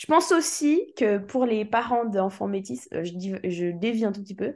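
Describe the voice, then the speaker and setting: A woman talks at a fairly high pitch with a dark, mellow tone. The background is quiet. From Switzerland. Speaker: musician. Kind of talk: interview.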